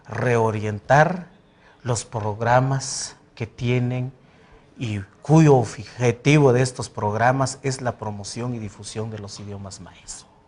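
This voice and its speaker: A man with a Guatemalan accent speaks at a very slow pace, somewhat breathy and medium in pitch, with ordinary pitch variation and big swings in loudness. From Guatemala, Santa Cruz, Alta Verapaz. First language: Poqomchi' (speaking Spanish). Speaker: president of a language academy. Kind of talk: TV interview.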